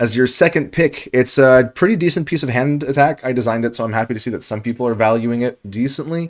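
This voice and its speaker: On a very clean recording with a silent background, a man rushes along at a very fast pace with hardly any pauses, at a medium pitch and with ordinary pitch variation. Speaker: card game draft commentator. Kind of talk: gameplay commentary. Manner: mumbling.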